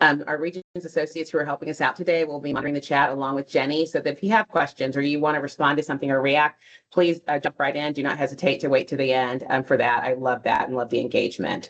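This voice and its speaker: Speaking at a very fast pace with hardly any pauses, a woman keeps a very deep, low pitch and fairly even intonation. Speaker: bank outreach manager. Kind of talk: webinar presentation. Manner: hesitant, many fillers.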